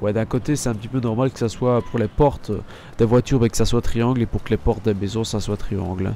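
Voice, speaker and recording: The voice has a dark, mellow tone and ordinary pitch variation, moving at a fairly quick pace. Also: man. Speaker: gaming youtuber. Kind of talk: let's play commentary. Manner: halting.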